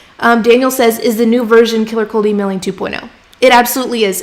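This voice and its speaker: A woman's high-pitched voice moves at a fairly quick pace against noticeable background noise. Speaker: freelance writing coach. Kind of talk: livestream teaching with chat Q&A. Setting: live stream from home. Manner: casual, chatty.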